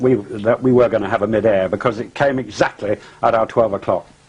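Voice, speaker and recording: A man with an English accent speaks at a moderate pace. Noticeable background noise runs underneath. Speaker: pilot. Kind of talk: interview testimony. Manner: halting.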